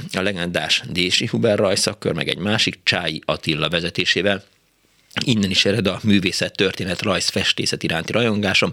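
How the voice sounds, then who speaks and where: With a bright, sharp tone, a man speaks at a moderate pace in a very deep, low pitch with ordinary pitch variation. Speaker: radio host. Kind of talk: call-in radio show. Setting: studio.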